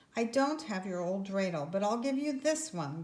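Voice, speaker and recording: A woman's gruff put-on character voice at a medium pitch and a moderate pace. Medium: read story. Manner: gruff, muttering.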